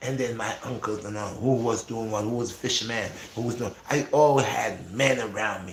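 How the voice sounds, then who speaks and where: A medium-pitched man's voice at a moderate pace with fairly even intonation and hardly any pauses, over noticeable background noise. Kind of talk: casual, preacher-like. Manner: loud, forceful, almost shouting.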